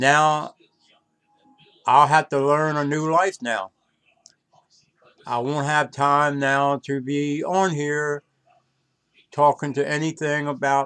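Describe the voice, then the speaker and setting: Using an American accent, a man speaks at a very slow pace with a fairly high pitch, fairly even intonation and long, frequent pauses. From North Carolina. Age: 80s+. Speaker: vlogger. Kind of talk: personal video monologue.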